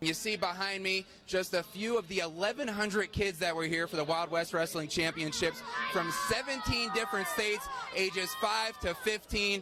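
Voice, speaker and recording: A man with an American accent speaks at a moderate pace in a raised, projected voice, high in pitch with ordinary pitch variation. His loudness stays very even while music plays in the background. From New York suburbs. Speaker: TV news reporter and anchor. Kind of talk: live TV news report.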